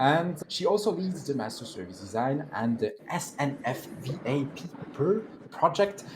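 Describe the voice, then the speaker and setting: A man with a French accent speaks at a fairly high pitch and a fairly slow pace, his pitch swinging very widely over noticeable background noise. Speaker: event host and moderator. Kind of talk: event moderation and introductions.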